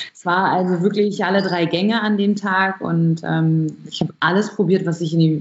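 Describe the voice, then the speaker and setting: A woman with a fairly low voice speaks at a moderate pace with ordinary pitch variation amid noticeable background noise. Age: 20s. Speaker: barista and coffee roaster. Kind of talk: interview.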